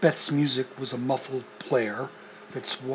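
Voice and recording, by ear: Someone reads aloud here in a natural voice.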